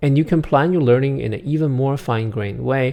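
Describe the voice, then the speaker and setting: A man with a Chinese accent talks at a medium pitch with ordinary pitch variation and a dark, mellow tone. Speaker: app developer presenting product tutorial. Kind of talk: tutorial. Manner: casual with many filler uhs.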